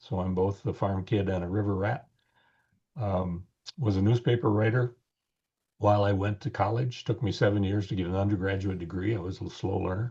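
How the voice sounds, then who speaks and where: A man with an American accent speaks at a fairly low pitch and a fairly quick pace. His tone is dark and mellow, somewhat breathy, against a quiet background. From US Midwest, rural Wisconsin. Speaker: author and podcast co-host. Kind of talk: interview, casual chat. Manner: halting, many fillers.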